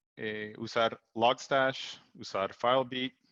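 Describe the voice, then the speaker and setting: A man with an English accent speaks at a very slow pace in a medium pitch, his bright, sharp tone set in monotone, flat intonation, with a dry, close sound with no echo and a quiet background. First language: English (speaking Spanish). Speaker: technical support engineer, presenter. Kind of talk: webinar presentation. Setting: Zoom webinar. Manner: halting, many fillers.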